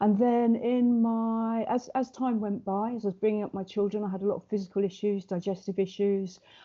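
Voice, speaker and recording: Fairly quick and fairly high-pitched, a woman speaks with an English accent. Her intonation stays fairly even. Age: 60s. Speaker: wellbeing coach. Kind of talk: podcast interview. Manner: fast.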